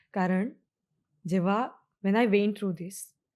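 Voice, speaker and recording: A plain, everyday voice is heard on a very clean recording with a silent background. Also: woman. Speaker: actress. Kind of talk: interview answer.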